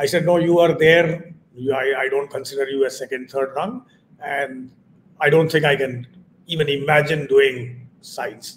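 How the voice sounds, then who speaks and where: Over light background noise, a man with a fairly high pitch speaks at a moderate pace in a somewhat breathy voice. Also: fairly even intonation. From eastern India. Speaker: chartered accountant and teacher; teacher. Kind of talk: interview. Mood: reflective, calm. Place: home room.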